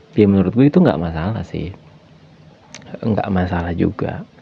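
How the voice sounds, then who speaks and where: A man's very deep, low voice in a relaxed tone, with ordinary pitch variation and noticeable background noise. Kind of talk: casual podcast talk about feelings. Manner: relaxed, conversational, soft-spoken.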